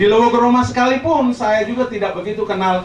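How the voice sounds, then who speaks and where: Talking at a very fast pace, a man is heard with audible room echo over noticeable background noise. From Lembata, East Nusa Tenggara, Indonesia. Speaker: retired navy soldier. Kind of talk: ceremonial speech.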